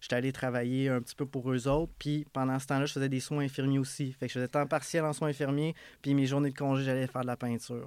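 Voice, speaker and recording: A man talks very fast in a medium pitch with monotone, flat intonation. The recording is very clean, with a silent background. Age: 30s. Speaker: painting business owner. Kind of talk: casual interview. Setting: studio.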